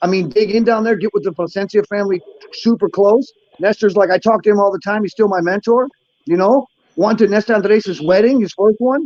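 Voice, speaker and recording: In an American accent, a man speaks at a high pitch with ordinary variation and a fairly quick pace. The sound is dry and close, with no echo. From Buffalo, New York, US. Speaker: cigar maker. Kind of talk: casual chat. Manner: quieter than usual.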